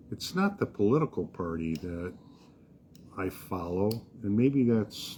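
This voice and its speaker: Delivered at a fairly slow pace with long, frequent pauses, this somewhat breathy voice with an American accent has a dark, mellow tone and ordinary pitch variation. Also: man, fairly low pitch for a man. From US, raised on military bases. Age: 70s. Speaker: podcast co-host. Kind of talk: casual discussion.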